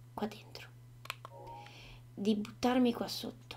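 At a very slow pace, a soft-spoken woman talks over light background noise. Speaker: gaming streamer. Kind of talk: casual gameplay commentary. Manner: soft-spoken ASMR murmur. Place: home room.

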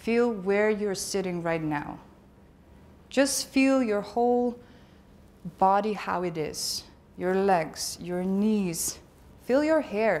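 Her tone calm and soothing, a woman uses lively intonation and takes long, frequent pauses. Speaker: conference speaker. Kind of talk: conference talk, with a guided meditation stretch; guided meditation. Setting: stage with audience. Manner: calm, slow, soothing instructions; conversational, humorous. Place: hall.

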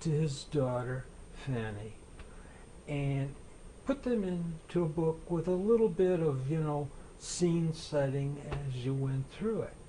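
Against light background noise, a man with a fairly high pitch and a dark, mellow tone speaks somewhat breathily at a fairly slow pace, with ordinary pitch variation. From Buffalo, New York; New York. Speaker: author and Civil War historian; guest. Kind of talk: interview about his books. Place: studio. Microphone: lapel.

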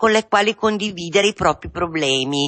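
With lively intonation and a moderate pace, a woman speaks in a normal speaking voice over a quiet background. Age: 50s. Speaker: patient in addiction recovery. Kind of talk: testimony. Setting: radio studio. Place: studio.

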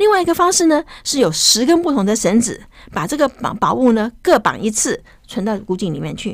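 The voice has an animated tone with very wide pitch swings. The background is quiet. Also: woman, high pitch for a woman, fairly quick pace. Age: 70s. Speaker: professor and translator; guest professor. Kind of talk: interview. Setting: studio. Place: studio. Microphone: studio mic.

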